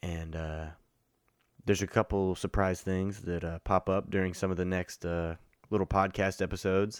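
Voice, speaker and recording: Recorded very cleanly with a silent background, a man with a very deep, low pitch talks at a fairly quick pace with fairly even intonation. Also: dry, close sound with no echo. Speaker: podcast host. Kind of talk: casual chat, recap monologue. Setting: studio/conference room recording. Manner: profane, laid-back.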